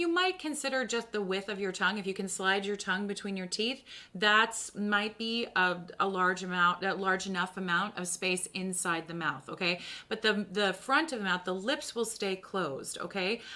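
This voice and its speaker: A woman's bright, sharp, animated voice at medium pitch, with ordinary pitch variation and a moderate pace. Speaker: voice teacher. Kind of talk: tutorial. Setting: live stream.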